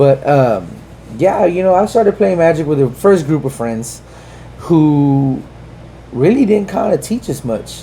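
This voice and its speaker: Lively intonation marks this man's speech. Behind his voice, there is noticeable background noise. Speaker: podcast co-host, prison officer. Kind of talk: casual chat.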